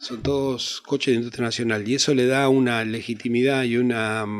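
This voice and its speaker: In a Rioplatense accent, a man speaks at a moderate pace and medium pitch with monotone, flat intonation. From Argentina. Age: 60s. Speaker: actor. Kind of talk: interview. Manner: halting.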